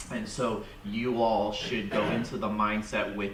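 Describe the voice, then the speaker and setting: A man speaks in a fairly low, monotone voice with flat intonation, with audible room echo and noticeable background noise. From Vietnam, raised in United States. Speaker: dental industry professional. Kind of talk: audience comment at seminar.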